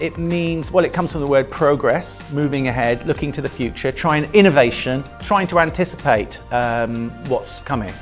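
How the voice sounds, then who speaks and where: Moderate pace with hardly any pauses, over faint music in the background. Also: man, fairly high pitch for a man, ordinary pitch variation. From United Kingdom. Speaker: music teacher. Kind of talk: interview answer. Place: classroom. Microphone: lapel.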